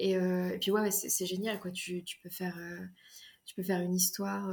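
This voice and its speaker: Moderate in pace, a woman's voice comes across as somewhat breathy. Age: 20s. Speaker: fantasy author. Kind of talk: casual interview. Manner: hesitant, many fillers.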